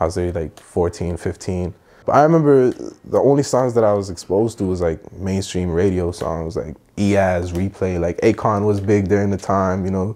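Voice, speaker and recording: Speaking at a moderate pace, a man has a very deep, low pitch, a dark, mellow tone and ordinary pitch variation. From Middle East, then Toronto from age 14. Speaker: musician; guest. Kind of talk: casual chat. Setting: playing video games during interview. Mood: calm, reflective. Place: home room. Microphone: lapel.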